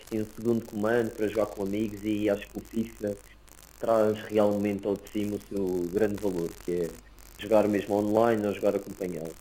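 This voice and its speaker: A man's fairly low voice holds a monotone, flat intonation throughout. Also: fairly quick pace. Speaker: podcast host. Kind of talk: casual chat.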